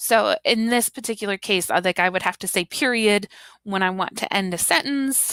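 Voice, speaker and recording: In an American accent, a woman talks at a moderate pace and medium pitch with ordinary pitch variation and a bright, sharp tone, in a very clean recording with a silent background and a dry, close sound with no echo. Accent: Southern US, heavy at times. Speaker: teacher trainer. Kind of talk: tutorial. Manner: casual, with fillers.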